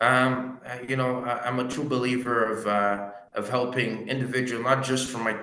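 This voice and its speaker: A man with a Quebec accent speaks at a moderate pace and medium pitch. His intonation is monotone and flat, with audible room echo. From Quebec (Gatineau), partly West Africa. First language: French. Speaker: mortgage broker. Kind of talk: interview. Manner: hesitant, many fillers.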